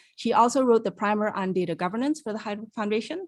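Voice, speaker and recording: A woman has a plain, everyday voice, fairly high in pitch with ordinary pitch variation. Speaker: webinar moderator. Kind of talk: webinar introduction. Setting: online webinar.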